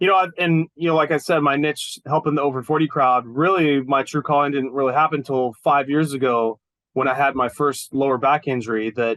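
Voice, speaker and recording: Here is a man with a plain, everyday voice at a fairly high pitch. He talks at a fairly quick pace with fairly even intonation. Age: 40s. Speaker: personal trainer, gym owner. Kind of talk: casual interview chat.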